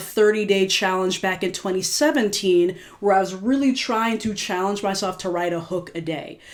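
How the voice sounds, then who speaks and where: A woman's ordinary speaking voice at medium pitch, with ordinary pitch variation and hardly any pauses. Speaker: singer-songwriter reflecting on own music. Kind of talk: casual video commentary. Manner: casual, filler-heavy.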